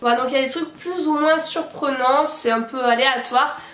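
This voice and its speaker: A woman with a high-pitched voice speaks at a moderate pace, with audible room echo and noticeable background noise. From southern France, Montpellier. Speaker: YouTuber. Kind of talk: casual vlog monologue.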